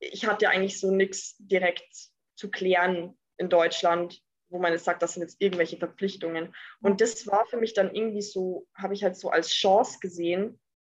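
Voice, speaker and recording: A woman talks in a medium pitch and a monotone, flat intonation, keeping a moderate pace. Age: 20s. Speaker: entrepreneur. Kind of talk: interview.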